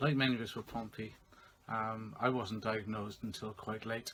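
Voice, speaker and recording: A man has an ordinary speaking voice at a medium pitch. He keeps a moderate pace with fairly even intonation. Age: 50s. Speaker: patient sharing experience. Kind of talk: testimony.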